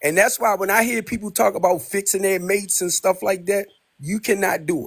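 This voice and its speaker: A man with an American accent speaks at a fairly quick pace. His pitch is high, with ordinary pitch variation. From US, Baltimore, Maryland. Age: 60s. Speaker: caller. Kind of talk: casual chat.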